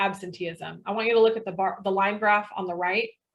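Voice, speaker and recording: Speaking with a plain, everyday voice, a woman keeps a medium pitch and varies it in an ordinary way. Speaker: webinar presenter, sales director. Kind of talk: webinar presentation.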